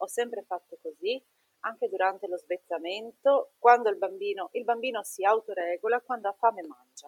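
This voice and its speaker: A woman with an ordinary speaking voice talks at a moderate pace and a fairly high pitch, with ordinary pitch variation and big swings in loudness. The sound is dry and close with no echo. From northern Italy, Treviso (Veneto). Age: 30s. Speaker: nurse and mother. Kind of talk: personal testimony in interview.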